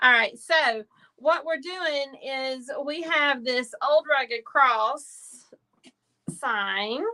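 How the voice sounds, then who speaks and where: Raised and projected, a woman's high-pitched voice has a bright, sharp tone, ordinary pitch variation and a very slow pace. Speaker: craft business owner and live stream host. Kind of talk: live stream craft tutorial chat. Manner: loud.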